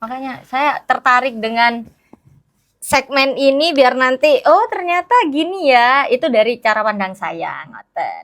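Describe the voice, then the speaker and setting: High-pitched and fairly slow, a woman's voice moves through very wide pitch swings. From Malang Regency, East Java, Indonesia (Madurese descent). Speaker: teacher. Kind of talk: interview. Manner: animated.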